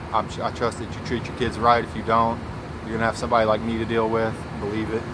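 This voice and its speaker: Amid noticeable background noise and audible room echo, a man talks very fast at a medium pitch in a monotone, flat intonation. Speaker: vlogger. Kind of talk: casual monologue. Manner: halting.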